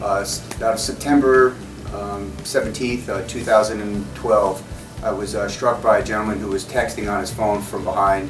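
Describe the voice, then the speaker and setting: The speech moves at a moderate pace with ordinary pitch variation, and music plays in the background. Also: man, fairly low pitch for a man. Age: 40s. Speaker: surgery patient, former ultramarathon runner. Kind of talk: patient testimonial interview. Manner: hesitant, many filler words.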